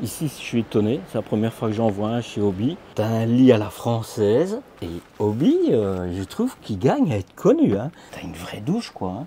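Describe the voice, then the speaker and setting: Light background noise sits under a man talking at a moderate pace, with ordinary pitch variation and big swings in loudness. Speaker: motorhome video blogger. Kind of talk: casual walkthrough commentary. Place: hall. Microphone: phone near.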